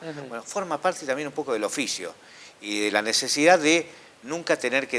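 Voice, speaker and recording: A man talks at a fairly quick pace. His tone is bright and sharp, with lively intonation. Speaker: radio announcer and host. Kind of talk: interview answer.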